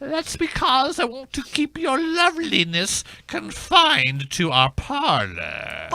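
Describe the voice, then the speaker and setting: A man puts on a character voice pitched extremely high. He speaks at a fairly slow pace with hardly any pauses. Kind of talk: comic period aristocrat. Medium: comedy sketch. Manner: prissy, affected.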